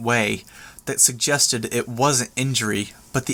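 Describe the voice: Simply plain reading aloud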